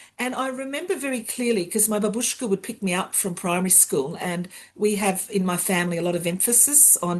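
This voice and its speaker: A woman speaks at a moderate pace, somewhat breathy, with ordinary pitch variation. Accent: Australian. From Australia, Sydney's western suburbs. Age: 60s. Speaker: university sustainability education director. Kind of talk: interview. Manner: frequent hesitations and fillers.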